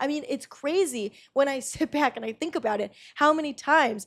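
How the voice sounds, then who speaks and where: This woman speaks at a moderate pace with ordinary pitch variation. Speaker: podcast host. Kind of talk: casual monologue. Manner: gets loud when excited.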